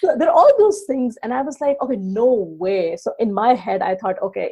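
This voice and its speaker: A woman speaks with a dark, mellow tone that is somewhat breathy. Her intonation is lively. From Pakistan. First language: not English. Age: 30s. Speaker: online business coach. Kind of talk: podcast interview.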